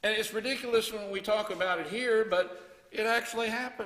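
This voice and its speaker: A man speaks at a moderate pace in a high voice. His intonation is fairly even. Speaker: preacher. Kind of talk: sermon. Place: church. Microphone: headset.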